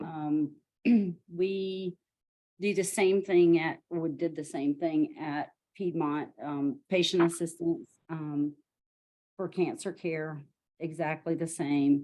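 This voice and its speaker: In a strong Southern US accent, a dark, mellow voice moves at a very slow pace with fairly even intonation and long, frequent pauses. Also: woman, fairly low pitch for a woman. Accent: thick Southern US. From US South, Georgia. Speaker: nonprofit executive director. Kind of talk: self-introduction.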